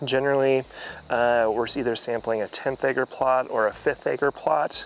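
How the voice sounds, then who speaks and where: With monotone, flat intonation, a man speaks at a moderate pace in a dry sound with no echo. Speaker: forestry extension educator. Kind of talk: tutorial. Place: forest. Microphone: lapel.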